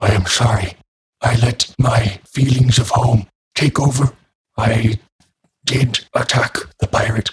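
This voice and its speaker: Putting on a raspy character voice at a medium pitch, a man speaks at a fairly slow pace with long, frequent pauses. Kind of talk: oratorical speechmaking. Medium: actual play. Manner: formal, earnest, no contractions.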